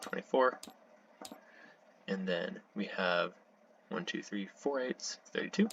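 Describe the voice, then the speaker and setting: Noticeable background noise surrounds a soft-spoken man. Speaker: strategy game player. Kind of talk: gameplay commentary. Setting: home recording at night. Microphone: voice quiet, computer louder.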